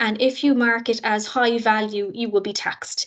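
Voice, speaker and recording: Speaking with a Cork accent, a woman uses a fairly high pitch at a moderate pace. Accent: Cork Irish. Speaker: university international office staff. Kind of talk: orientation presentation.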